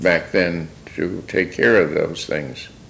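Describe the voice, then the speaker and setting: This man talks at a very slow pace with an American accent. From New York, New Rochelle (Westchester). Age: 90s. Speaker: local historian, elder interviewee. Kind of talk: oral history interview. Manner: halting, many fillers.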